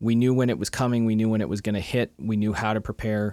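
Recorded dry and close with no echo, a man with an ordinary speaking voice talks at medium pitch with fairly even intonation. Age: 30s. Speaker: podcast co-host. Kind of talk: casual chat. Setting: video call.

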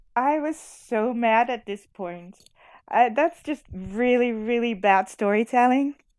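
Speaking at a very slow pace with a Dutch accent, a woman uses a high pitch and ordinary pitch variation. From Netherlands. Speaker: podcast guest. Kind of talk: casual chat.

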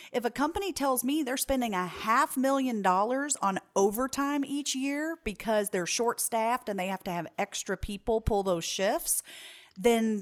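A woman speaks with a high pitch and lively intonation. The recording is very clean, with a silent background. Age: 30s. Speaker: business consultant. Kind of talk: interview.

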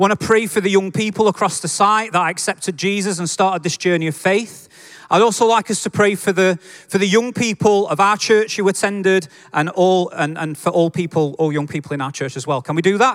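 A man speaks at a fairly quick pace in a Yorkshire accent. His pitch sits high for a man. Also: ordinary pitch variation. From Yorkshire, northern England. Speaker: preacher. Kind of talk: sermon. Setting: church with congregation. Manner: informal, friendly.

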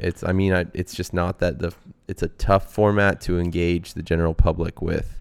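A man speaks at a moderate pace with an American accent, his pitch very deep and low. The recording is very clean, with a silent background. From Texas, Austin. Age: 20s. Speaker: bicycle racer. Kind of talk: casual interview. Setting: at his home.

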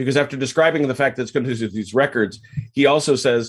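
An unremarkable speaking voice. The pitch varies in an ordinary way. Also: man. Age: 50s. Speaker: history enthusiast podcast guest. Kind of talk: casual chat.

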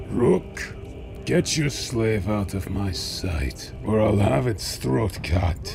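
A man uses a put-on character voice at a fairly low pitch. He talks at a very slow pace over loud background noise. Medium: audio drama. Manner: menacing, contemptuous, booming.

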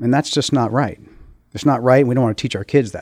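This man has a plain, everyday voice at medium pitch, with an American accent. His pitch variation is ordinary. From Maryland, US. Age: 50s. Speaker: school board candidate. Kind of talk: interview.

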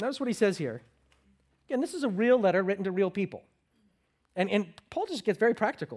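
In an American accent, the voice moves at a very fast pace broken by long, frequent pauses, on a very clean recording with a silent background. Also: man, high pitch for a man. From United States. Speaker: pastor. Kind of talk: sermon. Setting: church.

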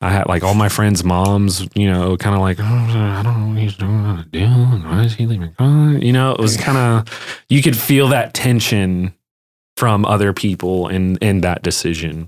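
In an American accent, a man with an ordinary speaking voice talks at a moderate pace, fairly low in pitch for a man, with ordinary pitch variation and very even loudness. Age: 20s. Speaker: freelance graphic designer and photographer. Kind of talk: casual chat.

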